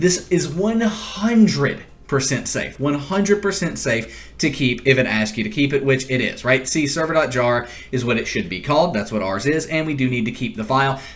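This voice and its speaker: The pitch makes very wide swings, and audible room echo surrounds the voice. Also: man, fairly high pitch for a man. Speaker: tech tutorial youtuber. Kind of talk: tutorial. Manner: fast.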